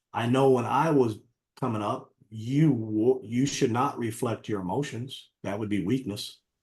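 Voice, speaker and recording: The man's voice is somewhat breathy, with a medium pitch. His pitch varies in an ordinary way. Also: fairly slow pace. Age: 60s. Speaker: martial arts coach and life coach. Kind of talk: interview conversation.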